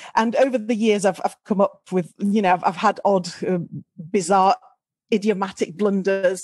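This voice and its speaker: Using fairly even intonation, a woman with a northern English accent talks at a moderate pace. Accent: generic northern English. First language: not English. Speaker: speaker. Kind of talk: podcast interview.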